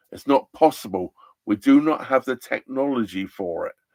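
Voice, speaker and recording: A man with an English accent speaks at a medium pitch, his animated tone and lively intonation caught in a dry, close sound with no echo. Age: 60s. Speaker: narrowboat vlogger. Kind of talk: live stream chat.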